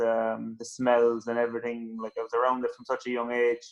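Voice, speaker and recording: A man's medium-pitched voice in a Cork accent. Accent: Cork Irish. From Ireland, West Cork. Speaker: rally driver. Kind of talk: interview. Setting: phone call. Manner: halting.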